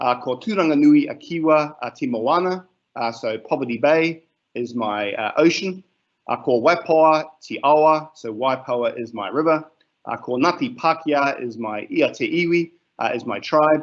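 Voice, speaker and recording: With a New Zealand accent, a man speaks at a moderate pace in a fairly high voice with lively intonation. The background is quiet. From New Zealand, Gisborne area. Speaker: teacher. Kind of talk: webinar presentation. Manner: hesitant, many fillers.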